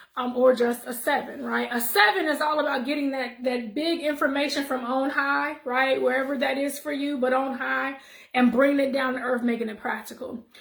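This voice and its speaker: A woman speaks in a high voice with fairly even intonation and hardly any pauses. Audible room echo surrounds her. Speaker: numerology and wellness vlogger. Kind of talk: casual monologue vlog. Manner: fast.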